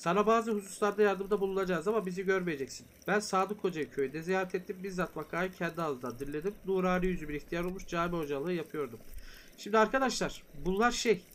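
A man speaks at a very fast pace in a high voice. His pitch varies in an ordinary way. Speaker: folklore storyteller streamer. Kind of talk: live stream reading and commentary. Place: home room.

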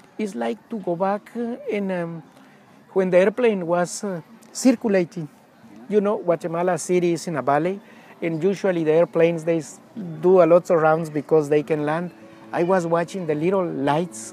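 Over light background noise, a man with a high pitch and ordinary pitch variation speaks at a moderate pace with long, frequent pauses, the sound dry with no echo. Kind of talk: interview answer. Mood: reflective, emotional story. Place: garden. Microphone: lapel.

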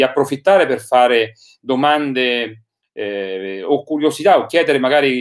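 The voice has ordinary pitch variation and a fairly slow pace over a quiet background. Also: man. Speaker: online show host. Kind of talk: interview host introduction. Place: home room. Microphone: webcam.

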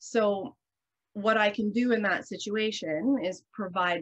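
The speaker has a Canadian accent. The background is quiet. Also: woman. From Canadian Prairies. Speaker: guest. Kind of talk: casual interview. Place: home room. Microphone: video call.

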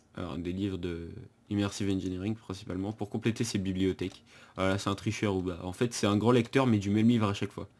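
A man talks at a very fast pace in a fairly low voice with fairly even intonation, captured in a very clean recording with a silent background. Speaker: gaming youtuber. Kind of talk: let's play commentary. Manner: halting, many fillers and repetitions. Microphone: new setup, improved sound quality.

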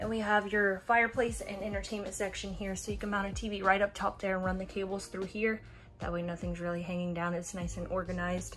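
The speech runs at a very fast pace with hardly any pauses. Faint music plays in the background. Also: woman. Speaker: dealership salesperson. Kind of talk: product tour commentary. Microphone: phone near.

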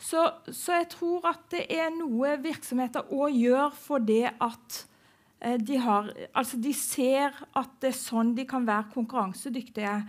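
Fairly slow speech against a quiet background. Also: woman. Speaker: innovation researcher. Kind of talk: panel discussion. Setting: stage with audience. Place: stage. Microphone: headset.

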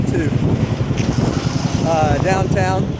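A man talks over loud background noise. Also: dry sound with no echo. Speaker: local vlogger. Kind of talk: casual vlog chat. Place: street. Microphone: phone near.

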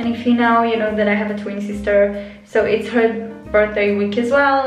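Over clear music in the background, the speech goes at a fairly slow pace with fairly even intonation and audible room echo. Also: woman. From Israel. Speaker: vlogger. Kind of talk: casual vlog talk to camera. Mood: cheerful, relaxed. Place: bathroom. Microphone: phone near.

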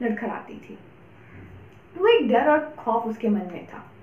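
Over audible room echo, a woman's pitch swings very widely as she talks at a fairly slow pace. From India. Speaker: English teacher. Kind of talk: lecture. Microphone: phone near.

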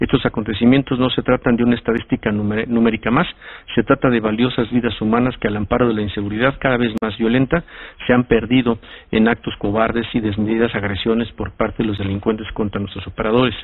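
At a very fast pace, a man speaks in a medium pitch with fairly even intonation. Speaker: radio news host. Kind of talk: radio news commentary reading a press notice.

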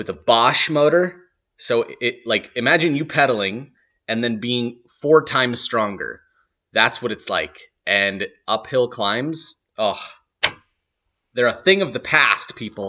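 Speaking at a fairly slow pace over a quiet background, a man leaves long, frequent pauses. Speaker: trading streamer. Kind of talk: casual live stream chat. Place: office.

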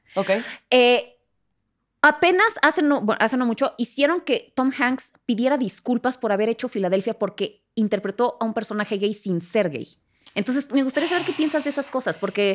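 Against a quiet background, a woman speaks with a Mexican accent at a high pitch. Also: lively intonation, moderate pace. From Mexico. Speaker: podcast co-host. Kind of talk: casual chat. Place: studio. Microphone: studio mic.

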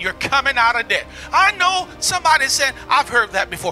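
A man is talking at a fairly quick pace. Faint music plays in the background. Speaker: prophet, preacher. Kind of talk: prophetic word, sermon-style address to camera. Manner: emphatic, rhetorical, repeating phrases. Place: studio. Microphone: handheld.

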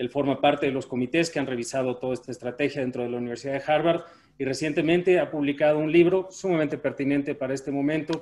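This man's voice has a fairly high pitch. His intonation stays fairly even. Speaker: university dean. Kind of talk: formal introduction. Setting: video call. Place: office. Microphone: video call.

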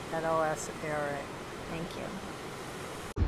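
Loud background noise fills this recording, while the sound itself is dry with no echo. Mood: cheerful. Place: beach. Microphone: phone near.

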